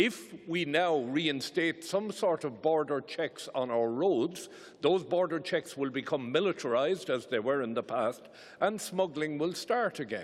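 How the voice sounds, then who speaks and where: With an Irish accent, a man with a fairly high pitch talks at a fairly slow pace, his intonation lively. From Ireland. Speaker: parliamentarian. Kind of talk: parliamentary speech. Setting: conference plenary hall. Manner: emphatic.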